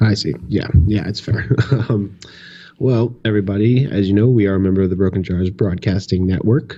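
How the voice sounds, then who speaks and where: A man's dark, mellow tone at a fairly low pitch, ordinary pitch variation, and a fairly quick pace. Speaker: podcast host. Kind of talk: casual chat. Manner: hesitant, many fillers.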